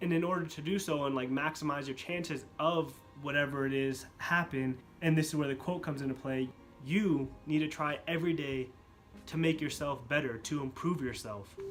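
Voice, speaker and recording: The speaker uses fairly even intonation. Music plays in the background. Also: man, fairly high pitch for a man, moderate pace. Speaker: motivational YouTuber. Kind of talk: casual talk to camera.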